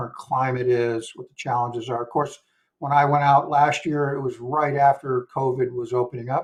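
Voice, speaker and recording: A man speaks at a medium pitch and a fairly quick pace. His voice is somewhat breathy, with monotone, flat intonation. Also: big swings in loudness. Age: 60s. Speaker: traveler. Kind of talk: casual chat. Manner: halting.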